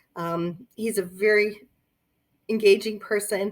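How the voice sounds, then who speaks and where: A woman's voice, very cleanly recorded against a silent background. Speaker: romance novelist. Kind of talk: casual talk about her books. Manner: tripping over words.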